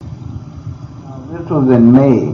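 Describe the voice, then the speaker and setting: There is noticeable background noise as a man of medium pitch talks at a moderate pace with ordinary pitch variation. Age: 70s. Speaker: claimed UFO contactee. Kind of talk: interview answer.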